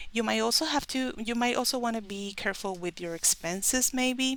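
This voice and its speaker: A woman with a Spanish accent at a moderate pace, ordinary pitch variation, on a very clean recording with a silent background. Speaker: tarot reader. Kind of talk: tarot reading to camera.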